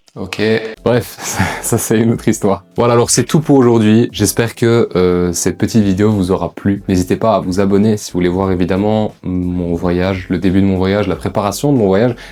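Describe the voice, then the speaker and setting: Over music in the background, a man speaks at a moderate pace with a fairly low pitch and fairly even intonation. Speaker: vlogger. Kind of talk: casual vlog monologue.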